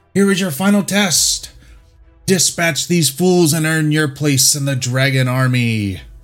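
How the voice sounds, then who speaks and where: The speaker uses a put-on character voice at a fairly slow pace. Faint music sits in the background. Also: man, fairly high pitch for a man. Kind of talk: theatrical game-master voice.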